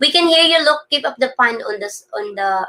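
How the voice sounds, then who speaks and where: With a Filipino accent and a bright, sharp tone, a woman speaks at a moderate pace with very wide pitch swings. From Philippines. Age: 40s. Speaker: vlogger. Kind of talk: live stream chat reading viewer comments. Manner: halting.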